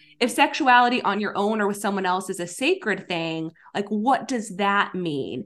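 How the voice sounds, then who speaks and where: With lively intonation, a woman in a normal speaking voice talks at a moderate pace at a medium pitch. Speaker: sex therapist and podcaster. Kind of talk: interview conversation.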